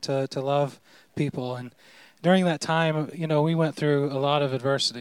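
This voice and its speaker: In an American accent, a man talks in an ordinary speaking voice pitched fairly high. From southern Indiana, rural. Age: 40s. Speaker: pastor. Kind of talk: testimony.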